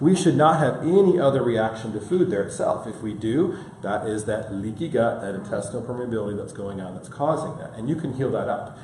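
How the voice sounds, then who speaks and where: A man with an American accent talks at a fairly quick pace and a medium pitch, barely pausing, his intonation lively and his loudness swinging widely. Room echo is audible, and background noise is noticeable. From Michigan. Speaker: functional medicine practitioner. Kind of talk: health seminar lecture. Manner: fast.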